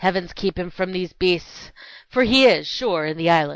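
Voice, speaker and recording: A woman performs a put-on character voice. Her pitch is medium. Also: moderate pace. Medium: short film.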